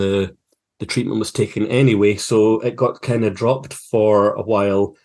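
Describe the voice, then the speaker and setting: A man with a Scottish accent speaks with fairly even intonation against a quiet background. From Scotland, Fife. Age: 40s. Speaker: filmmaker and university lecturer. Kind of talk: interview.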